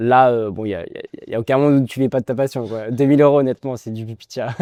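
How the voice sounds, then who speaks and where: Very fast and fairly even in intonation, a man's medium-pitched voice has a dark, mellow tone and big swings in loudness, recorded dry and close with no echo. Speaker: calisthenics coach. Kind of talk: interview.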